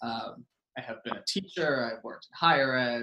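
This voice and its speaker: Using an unremarkable speaking voice, a man talks at a medium pitch and a moderate pace. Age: 30s. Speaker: education policy and social justice advocate. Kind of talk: casual chat.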